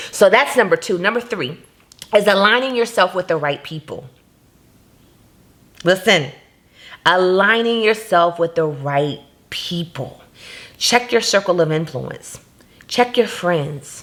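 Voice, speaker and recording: An American accent marks this woman's medium-pitched voice as she talks at a fairly slow pace with long, frequent pauses. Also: lively intonation. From Jacksonville, Florida, USA. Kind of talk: motivational faith talk to camera.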